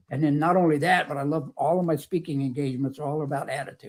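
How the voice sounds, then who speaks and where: A man's fairly high, somewhat breathy voice with an American accent and a fairly quick pace. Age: 70s. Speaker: motivational speaker and author. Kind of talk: interview chat. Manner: upbeat, energetic.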